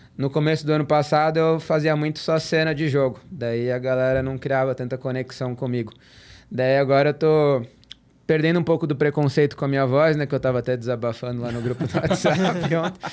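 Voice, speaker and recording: A man with an unremarkable speaking voice talks at a fairly quick pace and a fairly high pitch. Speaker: tennis content creator. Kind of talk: casual podcast chat.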